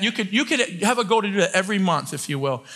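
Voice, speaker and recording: Against a quiet background, a man raises and projects his high-pitched voice, bright and sharp in tone, with lively intonation. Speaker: preacher. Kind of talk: sermon. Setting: church with congregation. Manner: fast talker; animated, loud at times. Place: church.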